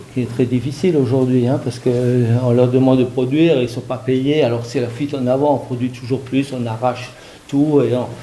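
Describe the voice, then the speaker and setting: The speech moves at a fairly quick pace, with monotone, flat intonation. Background noise is noticeable. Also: man, medium pitch for a man. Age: 60s. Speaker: hunter. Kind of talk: public debate. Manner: hesitant, many fillers.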